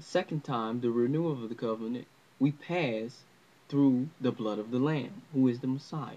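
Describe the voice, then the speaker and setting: The speaker is a man with a medium pitch. His tone is dark and mellow. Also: ordinary pitch variation, moderate pace. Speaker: religious teacher. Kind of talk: religious lesson to camera. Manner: unscripted, hesitant.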